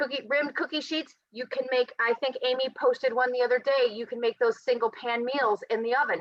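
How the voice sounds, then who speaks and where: The speech moves at a fairly quick pace with hardly any pauses and fairly even intonation. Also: woman, high pitch for a woman. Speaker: nutrition and health coach. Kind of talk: presentation. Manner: fast.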